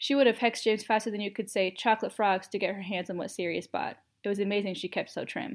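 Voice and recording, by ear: Someone reads aloud in a natural voice with fairly even intonation. The background stays quiet.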